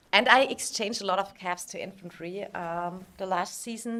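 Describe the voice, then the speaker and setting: With a German accent, the speaker moves at a fairly quick pace with ordinary pitch variation. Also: woman. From Germany. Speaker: video game streamer. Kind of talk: live stream commentary. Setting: live stream. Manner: hesitant, many fillers.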